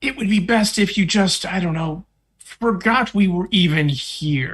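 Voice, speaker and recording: In a put-on character voice, the speaker talks at a moderate pace with a middle pitch. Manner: persuasive, smooth.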